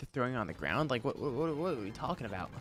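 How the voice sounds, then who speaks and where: A man is speaking. His pitch rises and falls by an ordinary amount. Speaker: livestreamer, gamer. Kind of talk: casual live-stream chat. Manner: animated.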